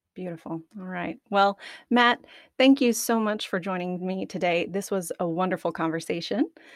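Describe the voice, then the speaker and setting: A woman with a Southern US accent speaks at medium pitch and a moderate pace, with ordinary pitch variation and big swings in loudness. The recording is very clean, with a silent background. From Arkansas. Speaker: podcast host. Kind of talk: casual interview.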